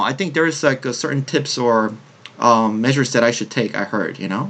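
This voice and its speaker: With noticeable background noise, a man talks at a very fast pace. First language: Korean. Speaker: podcast host. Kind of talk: casual chat.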